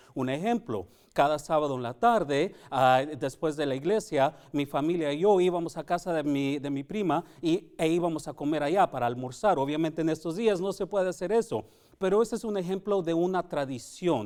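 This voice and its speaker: A fairly high-pitched man's voice at a moderate pace, with ordinary pitch variation. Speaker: Sabbath School teacher. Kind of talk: Bible study lesson. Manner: halting.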